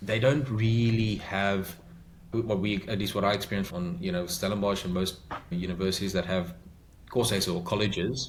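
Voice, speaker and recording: A man with a South African accent, fairly low-pitched, at a moderate pace with fairly even intonation. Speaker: podcast guest, migrant to Australia. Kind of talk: interview answer. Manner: direct.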